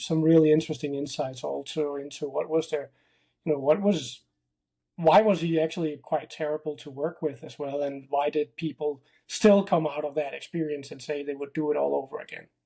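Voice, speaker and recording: In a Danish accent, a man speaks with a fairly high pitch and a dark, mellow tone, keeping his intonation fairly even. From Denmark. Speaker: tech company founder. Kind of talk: casual interview. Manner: hesitant, many fillers.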